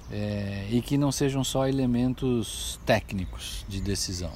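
Speaking at medium pitch, the man shows ordinary pitch variation. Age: 60s. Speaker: business consultant, former executive. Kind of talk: personal reflection monologue. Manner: halting, with many fillers.

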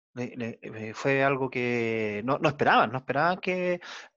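A man speaks very slowly at a medium pitch. The background is quiet. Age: 40s. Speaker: podcast host. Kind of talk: interview.

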